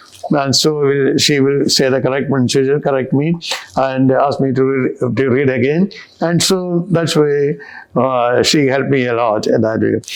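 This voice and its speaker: A man with a Kerala accent speaks at a fairly high pitch, with very even loudness and ordinary pitch variation. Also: moderate pace. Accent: Indian English (Kerala). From India, Kerala. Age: old. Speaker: retired bishop. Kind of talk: interview.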